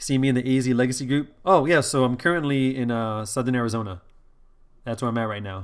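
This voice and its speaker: Very fast speech with an American accent and ordinary pitch variation, on a very clean recording with a silent background. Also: man, medium pitch for a man. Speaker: streamer, Magic player and Army soldier. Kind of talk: live-stream gameplay commentary. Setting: live stream. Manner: casual, many fillers and restarts.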